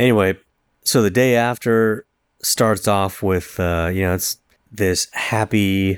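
A man with a very deep, low pitch and fairly even intonation, at a fairly slow pace, in a very clean recording with a silent background and a dry, close sound with no echo. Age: 40s. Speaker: film podcast co-host. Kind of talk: casual chat. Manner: halting, many fillers and repeats.

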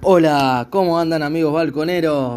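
A man talks with a Buenos Aires accent. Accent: Rioplatense Spanish (Buenos Aires). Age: 30s. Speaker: podcast host. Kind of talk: casual music commentary. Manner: animated.

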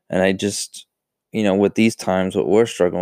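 A man with a Western New York accent speaks in a fairly low pitch, with a dark, mellow tone and fairly even intonation. The sound is dry and close with no echo, in a very clean recording with a silent background. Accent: Western New York American. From US, Buffalo, New York. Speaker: podcast host. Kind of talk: casual solo talk. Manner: many fillers, halting.

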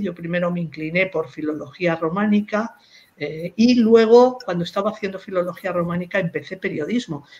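Lively intonation marks this woman's unremarkable speaking voice. She keeps a moderate pace. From Spain, Madrid. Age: 60s. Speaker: philologist, professor and writer. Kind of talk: interview about her career.

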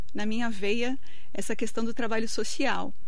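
High female voice at a moderate pace, with noticeable noise in the background. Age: 40s. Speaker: lawyer and municipal secretary. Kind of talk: radio interview. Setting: radio studio.

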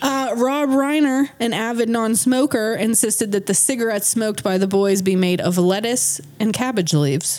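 A woman's fairly high voice with an American accent, lively intonation, very even loudness and a moderate pace with hardly any pauses, over noticeable background noise. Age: 30s. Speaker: podcast co-host. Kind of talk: casual chat with scripted research segments.

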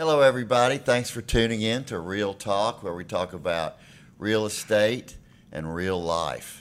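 A man with a Tennessee accent speaks at a moderate pace. His pitch is fairly low, with ordinary pitch variation. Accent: Southern US (Tennessee). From Nashville, Tennessee. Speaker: podcast host, real estate lawyer. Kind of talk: casual interview.

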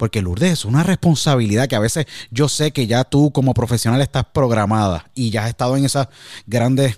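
Heard in a dry, close sound with no echo and a silent background on a very clean recording, a man with a plain, everyday voice talks at a fairly quick pace with medium pitch and ordinary pitch variation. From Puerto Rico, San Juan. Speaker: podcast host and former sports radio broadcaster. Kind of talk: interview conversation.

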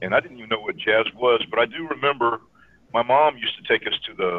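A man speaks in an ordinary speaking voice with an American accent. His pitch is medium, with ordinary variation, and his pace is fairly quick. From US South, Georgia (Air Force bases). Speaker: jazz pianist and teacher. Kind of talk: casual interview.

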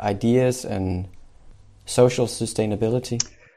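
Over a very clean recording with a silent background, a man speaks with a Danish accent at medium pitch. His tone is dark and mellow, his intonation fairly even, his pace fairly slow. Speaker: podcast host. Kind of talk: interview.

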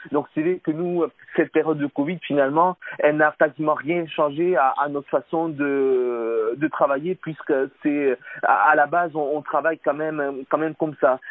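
A man's fairly high pitch, fairly even intonation, and moderate pace. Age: 30s. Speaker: cycling coach. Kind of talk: interview. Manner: hesitant, many fillers.

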